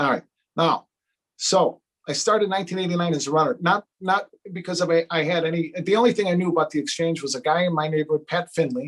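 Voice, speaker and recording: Speech in an American accent moves at a fairly quick pace with ordinary pitch variation. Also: man. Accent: Chicago accent, stronger when angry. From Chicago, south side. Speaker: day trader and trading educator. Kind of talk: live stream talk. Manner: animated.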